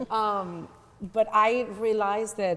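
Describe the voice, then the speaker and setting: In a Spanish accent, a woman speaks with fairly even intonation. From Venezuela, raised in North Carolina. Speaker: community advocate. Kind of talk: talk show interview. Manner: halting, with many restarts.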